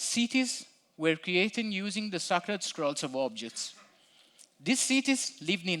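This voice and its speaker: A man's bright, sharp voice at a fairly slow pace, with very wide pitch swings, on a very clean recording with a silent background. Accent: non-native. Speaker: front-end developer, conference speaker. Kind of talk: conference talk. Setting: stage with audience. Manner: storytelling narration.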